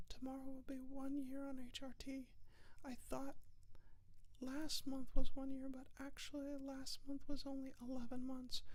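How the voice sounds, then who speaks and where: A woman speaks softly at a high pitch. Her pace is moderate and her intonation is a flat monotone. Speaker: vlogger. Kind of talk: casual vlog monologue. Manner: soft-spoken.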